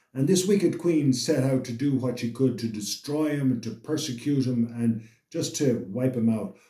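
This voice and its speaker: Hardly pausing, a man speaks at a moderate pace and medium pitch in a somewhat breathy, dark, mellow tone with ordinary pitch variation. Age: 60s. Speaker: motivational channel host. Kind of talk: motivational monologue. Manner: halting, with repetitions.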